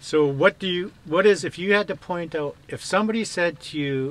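A man talks with lively intonation. He has an ordinary speaking voice. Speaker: vlogger interviewing a van lifer. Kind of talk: casual interview.

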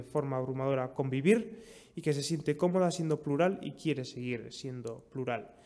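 This man's tone is slightly mellow, and his pitch varies in an ordinary way. He speaks at a moderate pace.

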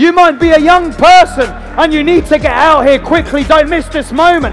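Faint music plays behind a man who speaks at a moderate pace in an extremely high pitch. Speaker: evangelist, tent revival preacher. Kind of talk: live preaching and altar call at a revival meeting. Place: tent.

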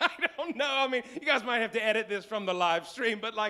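A man with an American accent speaks in a raised, projected voice with lively intonation and an animated tone. The background is quiet. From West Virginia. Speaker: pastor. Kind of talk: sermon. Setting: church live stream. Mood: playful, joking. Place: church. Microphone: handheld.

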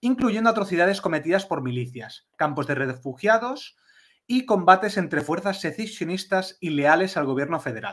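With lively intonation and a normal speaking voice, a man talks at a moderate pace. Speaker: podcast co-host. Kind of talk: casual chat.

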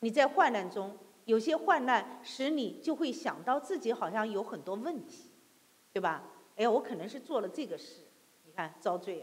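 Her pitch sits fairly high and swings very widely. This woman talks at a moderate pace. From mainland China. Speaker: preacher. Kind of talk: sermon. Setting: church. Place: church.

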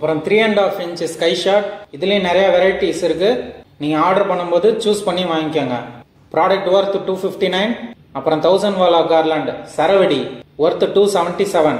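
Over noticeable background noise, a man with a high-pitched voice speaks with fairly even intonation. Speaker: fireworks product reviewer. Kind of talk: product review talk to camera.

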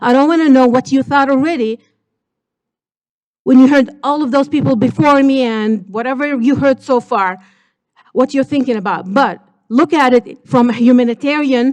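A woman with a high pitch and ordinary pitch variation speaks with long, frequent pauses. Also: moderate pace. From Gaza, Palestine. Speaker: public commenter. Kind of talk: public comment at city council. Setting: city council meeting chamber. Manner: halting, many fillers; impassioned.

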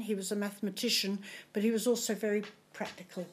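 Here a woman is speaking. She talks with an Australian accent. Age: 80s+. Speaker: community volunteer and foundation founder. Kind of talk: interview answer. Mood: warm, reflective. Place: home room. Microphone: studio mic.

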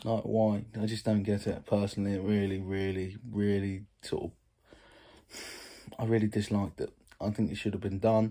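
With an English accent, a man speaks at a moderate pace in a fairly low pitch and a dark, mellow tone over a quiet background. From England. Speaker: YouTube vlogger. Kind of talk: casual vlog. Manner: animated. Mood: opinionated, mildly frustrated. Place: home room. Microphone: phone near.

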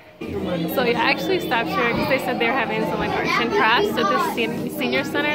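A woman speaks with a dry sound and no echo. Music plays in the background. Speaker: vlogger. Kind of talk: casual vlog chat. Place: hall. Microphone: phone near.

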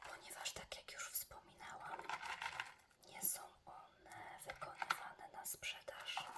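Whispering at a very slow pace, a woman swings widely in loudness against noticeable background noise. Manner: whispered, relaxing.

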